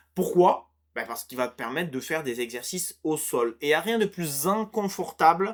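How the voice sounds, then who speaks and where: The recording is very clean and the background silent. A man speaks with lively intonation. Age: 30s. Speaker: fitness coach. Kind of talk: casual tutorial monologue. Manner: hesitant, many fillers and repetitions.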